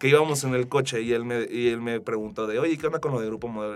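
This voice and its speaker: A very fast pace with ordinary pitch variation. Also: man. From Mexico, Aguascalientes. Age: 20s. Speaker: digital marketing specialist. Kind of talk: interview. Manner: halting, many fillers.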